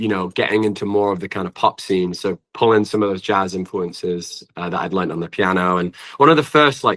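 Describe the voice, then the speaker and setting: Against a quiet background, a man with a fairly low pitch speaks at a fairly quick pace. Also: ordinary pitch variation, hardly any pauses, dry, close sound with no echo. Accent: British. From England. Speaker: singer-songwriter. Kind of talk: interview.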